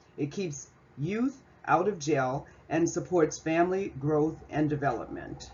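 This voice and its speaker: A woman talks at a fairly slow pace in a very deep, low pitch. Her voice is somewhat breathy, with ordinary pitch variation. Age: 60s. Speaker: student presenting an assignment. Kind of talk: class presentation reading slides. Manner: scripted, formal.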